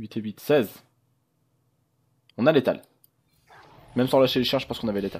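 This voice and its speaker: Speaking at a fairly quick pace, a man with a medium pitch and ordinary pitch variation leaves long, frequent pauses. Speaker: gaming youtuber. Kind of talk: gameplay commentary. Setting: home recording with webcam. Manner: fast; casual, hesitant with fillers.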